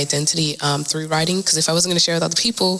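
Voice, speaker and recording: Noticeable background noise sits under a woman's very deep, low-pitched voice. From South Sudan, migrated to Australia. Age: young. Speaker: spoken word poet. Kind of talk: podcast interview. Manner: hesitant, many fillers.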